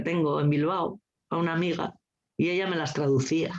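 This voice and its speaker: A woman's fairly low-pitched voice at a very fast pace. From Asturias, Spain. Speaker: teacher and coeducation trainer. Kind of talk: casual chat. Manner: animated.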